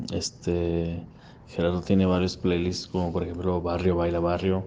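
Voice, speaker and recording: This man speaks at a moderate pace with a dark, mellow tone and a very deep, low pitch. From Ciudad Juárez, northern Mexico. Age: 30s. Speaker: industrial designer and podcaster. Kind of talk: recorded voice message answers. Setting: recorded separately, voice message.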